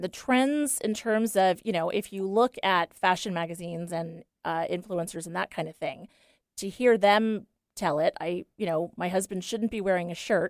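A woman with an unremarkable speaking voice, medium pitch, ordinary pitch variation, and moderate pace, in dry, close sound with no echo on a very clean recording with a silent background. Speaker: style consultant. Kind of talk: casual chat. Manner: bubbly, teasing, talkative.

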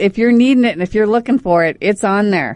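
This woman has a fairly high pitch and a normal speaking voice. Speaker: radio host. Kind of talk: casual chat. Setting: studio. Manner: loud.

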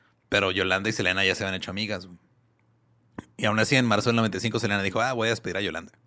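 A man's medium-pitched voice at a very fast pace, in a very clean recording with a silent background. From Ciudad Juárez, Mexico. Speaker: music podcast guest. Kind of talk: storytelling.

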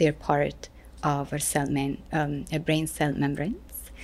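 In a very clean recording with a silent background, a woman speaks fairly slowly in a very deep, low pitch with vocal fry and monotone, flat intonation. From Italy. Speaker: neuroscientist. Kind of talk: interview.

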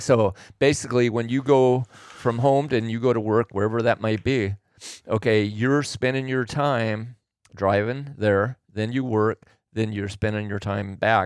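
A man with an American accent at medium pitch, fairly even intonation and a fairly slow pace, on a very clean recording with a silent background. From Oregon, US Pacific Northwest. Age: 60s. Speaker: host's father, businessman. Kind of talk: casual chat. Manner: halting, repeats words.

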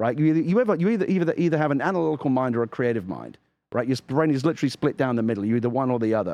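A man with an English accent speaks very fast at a medium pitch, his intonation lively. The background is quiet. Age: 50s. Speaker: video game podcast co-host. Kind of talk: casual chat. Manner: halting.

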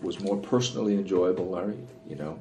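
A man with a Newfoundland accent talks over noticeable background noise in a room with audible echo. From Newfoundland, Canada. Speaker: wildlife biologist. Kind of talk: interview conversation. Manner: frequent fillers and hesitations.

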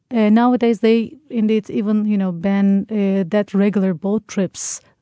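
A woman speaks with a Turkish accent at a moderate pace, her pitch fairly high and her tone dark and mellow. The sound is dry and close with no echo, her pitch varies in an ordinary way, and the background is quiet. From Turkey. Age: young. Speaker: tour guide. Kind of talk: radio interview.

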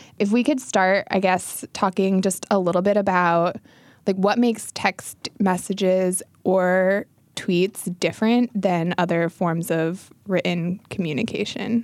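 In an ordinary speaking voice, a woman talks at a fairly slow pace with very even loudness and fairly even intonation, recorded dry and close with no echo on a very clean track with a silent background. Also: medium pitch for a woman. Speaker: podcast host. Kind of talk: casual chat.

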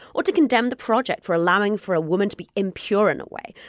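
A woman rushes along at a very fast pace while noticeable background noise carries on. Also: dry, close sound with no echo. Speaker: podcast host. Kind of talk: casual chat.

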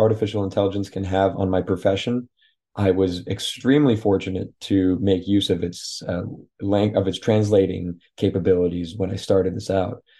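A man speaks with a dark, mellow tone and a fairly low pitch. His intonation stays fairly even against a quiet background. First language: French. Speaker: author. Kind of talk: interview. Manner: halting.

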